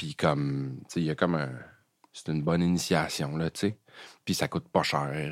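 In a Quebec accent, a man speaks with a very deep, low pitch and fairly even intonation, leaving long, frequent pauses, in a dry, close sound with no echo. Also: moderate pace. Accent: Québécois French. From Quebec, Eastern Townships. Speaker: jazz pianist and composer. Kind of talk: casual interview chat.

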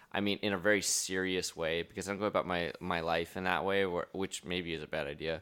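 The voice is bright and sharp, with monotone, flat intonation at a fairly quick pace. Hardly any pauses break the speech, and the recording is very clean with a silent background. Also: man, very deep, low pitch for a man. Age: 20s. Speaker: comedian. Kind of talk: casual chat.

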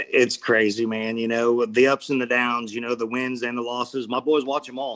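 With an American accent, the speaker keeps a moderate pace with hardly any pauses and monotone, flat intonation. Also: man, medium pitch for a man. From Missouri Ozarks. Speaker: bare knuckle fighter. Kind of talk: casual interview.

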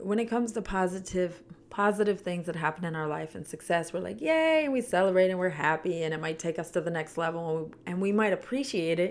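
A woman with a fairly low pitch and ordinary pitch variation, talking at a fairly quick pace with hardly any pauses over noticeable background noise. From Canada. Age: 40s. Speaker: podcast host. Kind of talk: solo reflective monologue. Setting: studio microphone, solo recording.

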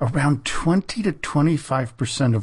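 A man talks at a moderate pace with lively intonation. His voice is somewhat breathy, and the background is quiet. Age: 50s. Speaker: history podcast host. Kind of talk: scripted narration.

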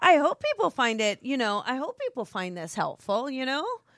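A woman with an American accent is heard in a very clean, dry, close recording with no echo and a silent background. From New Jersey. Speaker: author and spiritual business coach. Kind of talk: casual chat about her book. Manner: loud, animated; excitable.

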